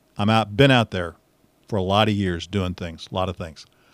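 Recorded very clean with a silent background, a man with a Midwestern American accent has a dry, close sound with no echo. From Missouri, US Midwest. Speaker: radio host and podcaster. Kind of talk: casual solo monologue. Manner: conversational with fillers.

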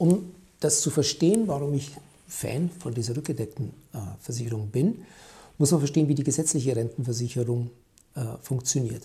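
A man's fairly high, dark, mellow, somewhat breathy voice at a fairly quick pace with ordinary pitch variation. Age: 50s. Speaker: company founder and podcast host. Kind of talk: solo commentary podcast.

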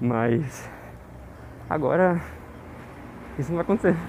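A man's fairly high-pitched voice with lively intonation at a fairly slow pace. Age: 20s. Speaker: diary podcaster. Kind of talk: personal audio diary monologue. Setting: outdoors, walking home.

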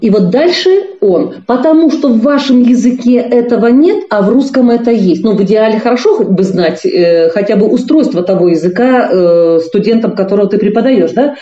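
Amid audible room echo, a woman with a fairly high pitch talks with hardly any pauses, lively intonation and very even loudness. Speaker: linguist, university teacher. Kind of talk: expert interview. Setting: remote call from China.

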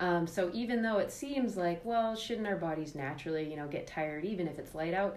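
A woman's fairly quick, lively-intoned speech with hardly any pauses, over noticeable background noise. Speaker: podcast host. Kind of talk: casual podcast discussion.

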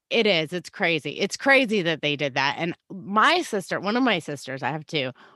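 Through a very clean recording with a silent background and a dry, close sound with no echo, a woman with a bright, sharp tone speaks at a moderate pace with very wide pitch swings. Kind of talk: casual chat.

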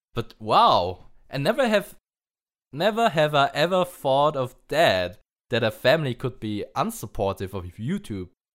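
Speaking at a fairly slow pace, a man with a fairly high pitch and vocal fry makes very wide pitch swings on a very clean recording with a silent background. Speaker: podcast host. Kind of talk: casual chat.

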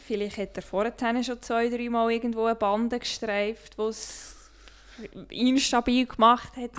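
A woman with a Swiss accent speaks at a fairly slow pace. Her pitch sits fairly high, and her intonation stays fairly even. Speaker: podcast co-host. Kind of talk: casual chat.

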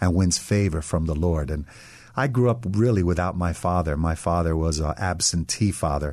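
With an American accent, a man talks at a moderate pace in a very deep, low voice against a quiet background. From US Northeast, Westchester, New York. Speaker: pastor. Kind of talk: radio interview.

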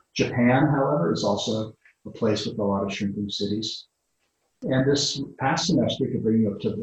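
A somewhat breathy man with a New England accent, medium pitch, ordinary pitch variation and a moderate pace. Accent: American English, New England. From US Northeast, Connecticut. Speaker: urban design professor. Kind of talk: interview.

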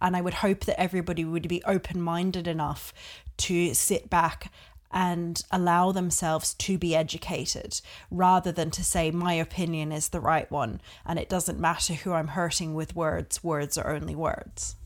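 Vocal fry marks a woman's monotone, flat delivery on a very clean recording with a silent background. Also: fairly low pitch for a woman, moderate pace. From Australia. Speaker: podcast guest. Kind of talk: casual conversation.

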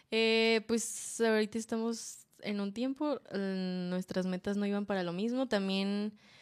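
A woman speaks with a Mexican accent at a medium pitch and a fairly slow pace, with hardly any pauses. Her intonation is fairly even, and the recording is very clean with a silent background. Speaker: podcast co-host. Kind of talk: casual chat. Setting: live stream.

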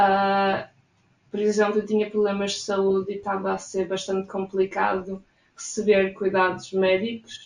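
A woman with a European Portuguese accent speaks fairly slowly at a medium pitch in a monotone, flat intonation. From Portugal. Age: 20s. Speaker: emigrant interviewee. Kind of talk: interview.

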